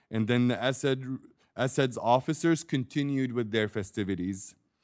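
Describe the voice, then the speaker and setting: Against a quiet background, the speaker talks with an Arabic accent and ordinary pitch variation. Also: man. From Syria. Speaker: war crimes witness. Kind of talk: testimony.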